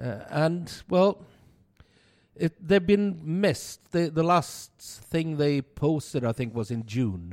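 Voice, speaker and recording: In a very clean, dry, close recording with a silent background and no echo, a man with a fairly high voice talks very slowly with lively intonation. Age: 50s. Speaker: podcast co-host, bar worker and beer enthusiast. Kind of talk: casual chat. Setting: studio.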